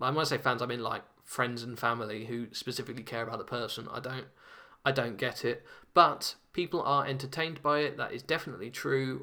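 Delivered at a fairly quick pace, this voice has a bright, sharp tone and a British accent. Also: man, medium pitch for a man. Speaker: podcast host. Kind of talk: casual monologue. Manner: hesitant, many fillers.

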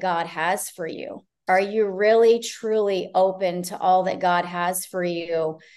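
A woman's unremarkable speaking voice at a medium pitch, in an American accent, at a fairly slow pace with ordinary pitch variation. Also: hardly any pauses. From Ohio, partly Canada. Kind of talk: casual interview.

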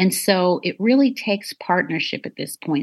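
Against a quiet background, a woman speaks at a medium pitch with vocal fry, lively intonation and a fairly slow pace. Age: 40s. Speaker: anti-trafficking advocate and survivor. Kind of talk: interview.

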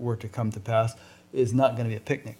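A man's somewhat breathy, medium-pitched voice with monotone, flat intonation. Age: 60s. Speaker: podcast interviewer. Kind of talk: interview. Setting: in person at guest's house.

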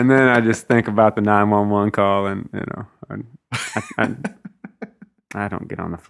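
With a Mississippi accent, a man speaks in a fairly low pitch at a moderate pace, his intonation monotone and flat, with long, frequent pauses. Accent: Southern US (Mississippi). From US South, North Mississippi. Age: 30s. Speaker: singer-songwriter. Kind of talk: casual interview chat. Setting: host's living room. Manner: hesitant, many fillers.

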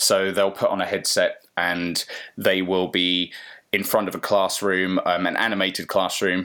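With an English accent, a bright, sharp voice speaks in a flat monotone at a moderate pace, recorded very cleanly over a silent background. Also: man. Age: 30s. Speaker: virtual reality agency founder. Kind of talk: casual interview.

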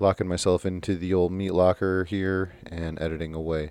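This man's voice sits very deep and low. The intonation is fairly even throughout. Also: very clean recording, silent background. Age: 30s. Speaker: podcast host. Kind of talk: casual chat.

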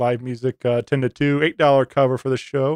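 This man has an unremarkable speaking voice, a medium pitch and a fairly slow pace. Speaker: podcaster guest. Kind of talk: casual chat.

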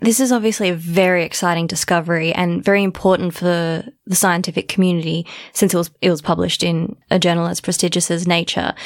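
A woman with a fairly low pitch talks at a very fast pace. Her intonation stays fairly even. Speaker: podcast host and astronomer. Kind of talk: casual chat.

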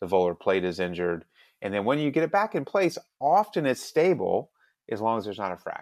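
Over a quiet background, a man at medium pitch talks at a fairly quick pace with vocal fry and very wide pitch swings. The sound is dry and close with no echo, and his long pauses come often. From Alabama. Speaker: hand surgeon. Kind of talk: interview.

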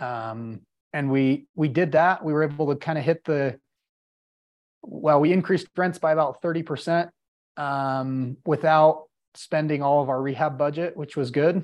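With an American accent, a man talks at a moderate pace in an unremarkable speaking voice, fairly high in pitch and fairly even in intonation. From Utah, Salt Lake City. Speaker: real estate investor. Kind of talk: casual interview.

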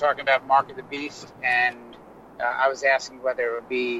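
Noticeable background noise is present throughout. Over it, a man talks fairly quickly. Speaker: clinic operator and guest. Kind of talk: casual chat.

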